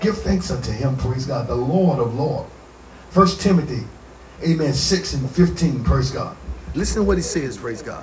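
A man speaks at a medium pitch with lively intonation and big swings in loudness, over noticeable background noise. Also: moderate pace. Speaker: pastor. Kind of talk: sermon. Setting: church. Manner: punctuates nearly every phrase with 'amen' and 'praise God'; call-and-response preaching, restating scripture with rising fervor.

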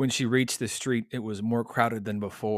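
The speaker reads in an unforced reading voice and keeps the intonation fairly even.

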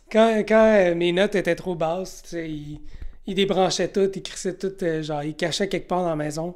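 On a very clean recording with a silent background, a woman uses a normal speaking voice at a medium pitch, a moderate pace, and ordinary pitch variation. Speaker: podcast host. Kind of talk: casual chat.

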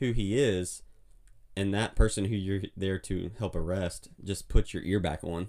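Here a man speaks with an Alabama accent and fairly even intonation. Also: fairly low pitch for a man, fairly slow pace. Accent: Southern US (Alabama). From US South, Mobile, Alabama. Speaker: podcast guest, brother-in-law of host. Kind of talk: casual chat. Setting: home closet as recording studio.

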